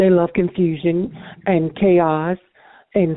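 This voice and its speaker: Here a woman with a normal speaking voice talks at a fairly slow pace. Her pitch is fairly low and her intonation fairly even. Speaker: chat line caller. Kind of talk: casual chat. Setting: phone call. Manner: brash.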